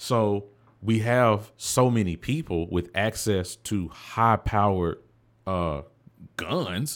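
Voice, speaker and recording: A man speaks at a very slow pace in a fairly low voice with ordinary pitch variation. The recording is very clean, with a silent background. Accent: Southern US. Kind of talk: casual conversation.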